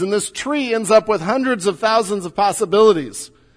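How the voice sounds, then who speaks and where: Talking at a fairly quick pace, a man with an American accent speaks at a high pitch. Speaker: pastor. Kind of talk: sermon. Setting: church.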